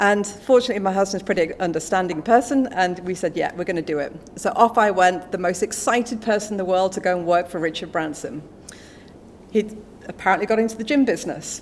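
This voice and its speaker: Very fast, a woman speaks with an English accent. Her pitch sits in the medium range. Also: ordinary pitch variation. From England. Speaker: business executive. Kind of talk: speech at a book launch. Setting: stage with audience. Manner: animated.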